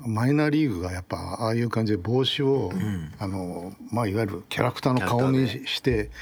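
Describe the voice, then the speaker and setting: A man with a normal speaking voice delivers his words fairly quickly, his medium pitch showing ordinary pitch variation. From Tokyo. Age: 60s. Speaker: baseball design researcher. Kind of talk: casual chat.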